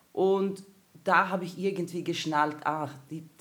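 A woman speaks at a very slow pace in a Swedish accent. Her fairly low voice is monotone, with flat intonation. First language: Swedish (speaking German). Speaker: performer and comedian. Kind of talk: casual chat.

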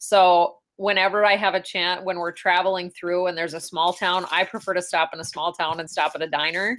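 In an Upper Midwest accent, the speaker keeps a moderate pace on a very clean recording with a silent background. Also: woman. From North Dakota (Ray). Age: 30s. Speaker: state senator. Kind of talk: interview.

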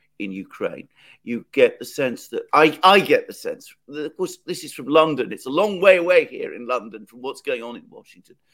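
Someone speaks at a fairly quick pace with a British accent. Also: man. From Britain. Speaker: political commentator, co-host. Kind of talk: live interview on current affairs. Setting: remote video call from London.

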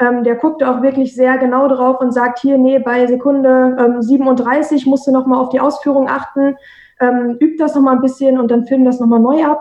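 Her voice high-pitched and her loudness very even, a woman speaks at a moderate pace with monotone, flat intonation. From Minden, East Westphalia, Germany. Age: 20s. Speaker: professional football goalkeeper. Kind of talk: interview. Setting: video call.

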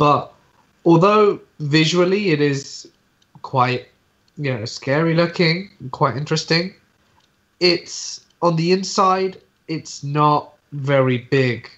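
Using ordinary pitch variation, a man with a fairly high voice speaks very slowly, leaving long, frequent pauses. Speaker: horror storyteller. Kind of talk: casual chat.

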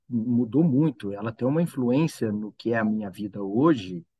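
In a dry, close sound with no echo, a man with an ordinary speaking voice talks at a moderate pace, his medium pitch showing ordinary variation. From São Paulo state interior (Altinópolis, near Ribeirão Preto). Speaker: agronomist, former student house resident. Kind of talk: casual chat, storytelling.

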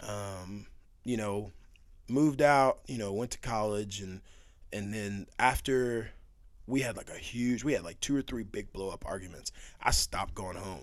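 This is an ordinary speaking voice, a man's with an American accent. His pitch is fairly low, with ordinary pitch variation. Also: moderate pace, big swings in loudness. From Texas. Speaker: guest. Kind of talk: casual chat.

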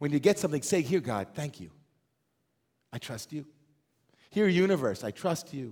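Speaking at a moderate pace with long, frequent pauses, a man with a fairly high voice and vocal fry sounds animated, his pitch swinging very widely and his loudness rising and falling sharply. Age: 40s. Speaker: rabbi. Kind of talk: sermon.

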